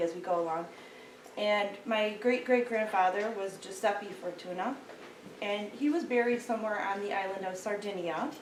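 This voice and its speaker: Audible room echo surrounds a woman with an American accent as she speaks at medium pitch and a moderate pace, her pitch varying in an ordinary way. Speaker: genealogy speaker, local historian. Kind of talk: lecture. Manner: halting, many fillers.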